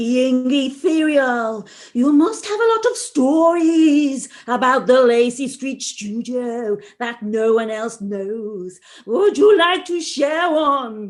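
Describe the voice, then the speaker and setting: A female-sounding, high-pitched put-on character voice speaks at a very slow pace. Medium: audio drama.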